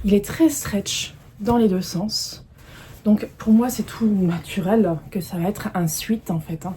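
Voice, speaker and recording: Noticeable background noise under a woman's speech, its pitch varying in an ordinary way. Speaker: sewing vlogger. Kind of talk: casual video presentation, fabric haul. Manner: hesitant, many fillers (euh) and repetitions.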